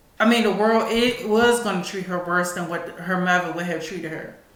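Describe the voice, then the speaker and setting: Fairly even intonation in an American accent at a moderate pace, with audible room echo and noticeable background noise. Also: woman. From Washington DC. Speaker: talk show host. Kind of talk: casual commentary. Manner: halting.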